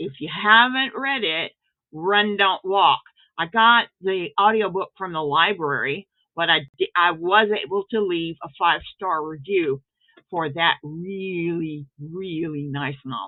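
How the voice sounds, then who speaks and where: A woman speaks with an American accent in a plain, everyday voice at a fairly low pitch. She talks at a fairly slow pace with ordinary pitch variation. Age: 60s. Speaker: author and writing teacher. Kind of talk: casual video intro talk.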